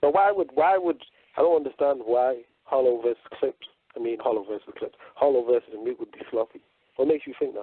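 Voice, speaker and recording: A man with a British accent speaks very fast at a fairly high pitch, with lively intonation. His loudness swings widely, and he leaves long, frequent pauses. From northern England, Manchester. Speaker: radio co-host. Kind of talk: casual chat.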